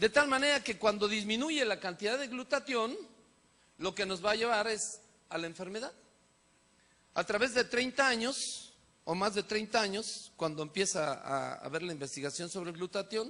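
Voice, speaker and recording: Speaking at a moderate pace, a man uses a high, raised, projected voice. His intonation is lively. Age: 60s. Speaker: physician. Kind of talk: lecture.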